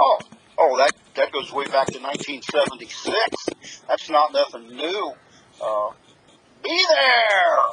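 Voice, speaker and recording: A man speaks with long, frequent pauses. Background noise is noticeable. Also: fairly slow pace. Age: 70s. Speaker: harness racing announcer. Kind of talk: interview answer. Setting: phone line.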